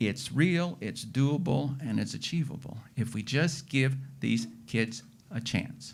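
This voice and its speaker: A man's medium-pitched voice with vocal fry, ordinary pitch variation and a very slow pace. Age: 60s. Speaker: farmer. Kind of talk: panel discussion.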